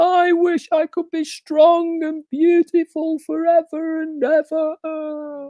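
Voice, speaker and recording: In a put-on character voice of extremely high pitch, the speaker goes at a very slow pace with hardly any pauses and monotone, flat intonation. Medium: read story.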